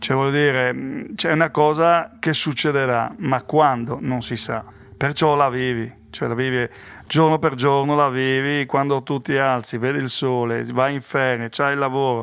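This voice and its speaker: This man's voice sits at a medium pitch. His intonation stays fairly even and his pace is fairly slow. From Friuli, north-east Italy (born near Paris). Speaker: kidney donor partner. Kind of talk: interview testimony. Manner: halting.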